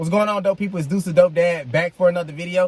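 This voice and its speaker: A loud, high-pitched male voice over noticeable background noise. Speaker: vlogger, dad reviewing his car purchase. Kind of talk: casual vlog review. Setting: in a car. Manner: projecting voice loudly.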